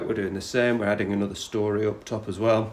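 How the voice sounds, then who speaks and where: This man talks at a fairly quick pace with a medium-pitched voice, and the room echo is audible. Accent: northeast English. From northeast England, Teesside. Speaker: podcast host, property investor. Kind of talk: casual podcast intro and interview. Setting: on site in a house under renovation. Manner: casual, with many fillers.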